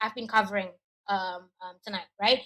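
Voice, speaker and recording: A woman talks at a very fast pace with an Indonesian accent. Her tone is bright and sharp. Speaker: education adviser. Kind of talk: webinar presentation. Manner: hesitant, with fillers.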